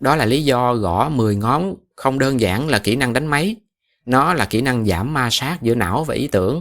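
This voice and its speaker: A man's medium-pitched voice with lively intonation and a Southern Vietnamese accent, at a fairly slow pace on a very clean recording with a silent background. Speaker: podcast host. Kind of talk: podcast monologue for Vietnamese learners. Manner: casual, conversational.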